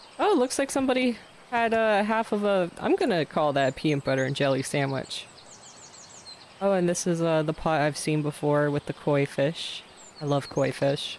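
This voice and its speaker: Lively intonation and very even loudness come through at a moderate pace over noticeable background noise. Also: man, fairly high pitch for a man. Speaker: gaming streamer. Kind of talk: gameplay livestream commentary. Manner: casual, chatty.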